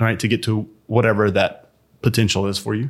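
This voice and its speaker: A man speaks at a moderate pace in an ordinary speaking voice, his pitch fairly low. The recording is very clean, with a silent background. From Alabama, US South. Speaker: CEO and entrepreneur. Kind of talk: interview, telling his life story.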